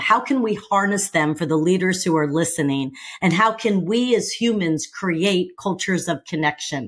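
This woman has a normal speaking voice at medium pitch, with lively intonation, a moderate pace, and a very clean recording over a silent background. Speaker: podcast host. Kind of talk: podcast interview.

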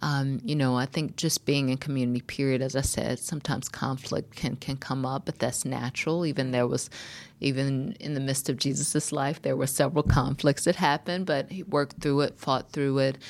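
Over a very clean recording with a silent background, a woman speaks at a very deep, low pitch and a fairly quick pace, with fairly even intonation and hardly any pauses. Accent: American. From US South, North Carolina. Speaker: minister and founder of a survivors' nonprofit. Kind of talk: interview. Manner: hesitant with many fillers.

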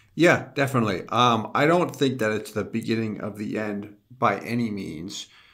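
A man with a plain, everyday voice, medium pitch and ordinary pitch variation, at a moderate pace with hardly any pauses. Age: 30s. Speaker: insurance company executive. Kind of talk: casual industry discussion.

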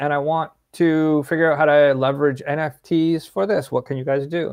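Man with a fairly high pitch and a plain, everyday voice. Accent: Canadian. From Ontario, Canada (Peterborough and Ottawa). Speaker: tech company CEO. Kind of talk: interview.

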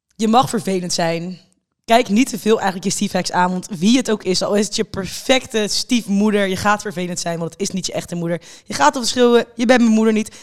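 A woman talks at a medium pitch and a fairly quick pace with ordinary pitch variation. Hers is a normal speaking voice. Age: 20s. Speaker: podcast host. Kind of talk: casual chat.

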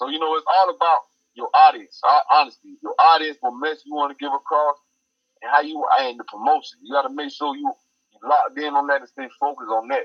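This man has a Georgia accent. He talks at a fairly quick pace. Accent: Southern US, Georgia country. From Effingham County, Georgia. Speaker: rapper, recording artist. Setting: phone call interview.

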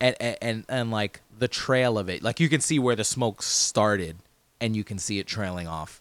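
A man's medium-pitched voice in an American accent, moderate pace and ordinary pitch variation, on a very clean recording with a silent background. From New Jersey (Hoboken). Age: 30s. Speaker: podcast co-host. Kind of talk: casual chat.

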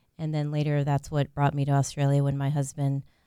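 On a very clean recording with a silent background, a woman speaks with a very deep, low pitch, a dark, mellow tone and monotone, flat intonation. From Central Florida, Puerto Rican family. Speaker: associate dean at a college. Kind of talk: radio interview.

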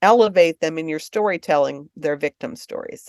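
With an American accent, a woman speaks in very wide pitch swings, recorded with a dry, close sound and no echo. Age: 60s. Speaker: book publisher. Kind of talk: casual interview. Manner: halting.

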